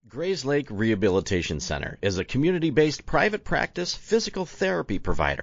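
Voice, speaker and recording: A man talks at a fairly quick pace and a medium pitch. His voice has vocal fry and very wide pitch swings. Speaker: podcast host. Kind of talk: podcast intro and sponsor read.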